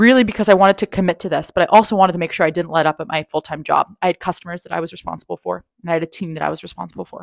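A woman with vocal fry and fairly low pitch, very fast with hardly any pauses, ordinary pitch variation and big swings in loudness, in a dry, close sound with no echo and a very clean recording with a silent background. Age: 30s. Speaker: career coach, podcast host. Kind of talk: solo monologue, personal storytelling.

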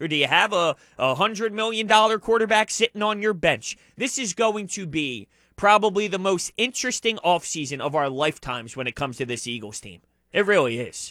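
Raised and projected, a man's high voice with a bright, sharp tone and very wide pitch swings moves at a fairly quick pace, captured dry and close with no echo on a very clean recording against a silent background. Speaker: sports radio co-host. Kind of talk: sports talk radio. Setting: radio studio. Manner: loud.

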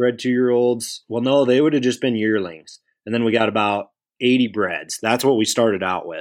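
In an American accent, a man speaks at a medium pitch and moderate pace with fairly even intonation. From US Midwest (South Dakota). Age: 20s. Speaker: bison rancher. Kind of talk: interview.

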